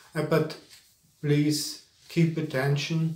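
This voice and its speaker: A man with a German accent speaks very slowly in a fairly high voice. Room echo is audible. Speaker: spiritual teacher. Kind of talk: lecture. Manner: halting.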